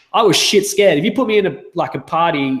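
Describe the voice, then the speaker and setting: This man talks very fast. He has an Australian accent. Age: 30s. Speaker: sales coach. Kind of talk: interview.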